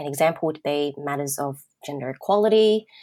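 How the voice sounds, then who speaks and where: Here is a woman with an Australian accent. Her pitch is very deep and low, with ordinary variation. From Australia, southwest Sydney. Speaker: marketing communications manager and copywriter. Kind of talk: interview.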